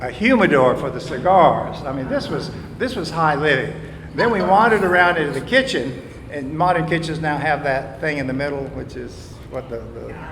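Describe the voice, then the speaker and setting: Speaking with lively intonation, a man talks at a moderate pace in a fairly high pitch. Noticeable background noise and audible room echo fill the recording. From US South. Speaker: local resident sharing history. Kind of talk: storytelling to live audience. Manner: halting.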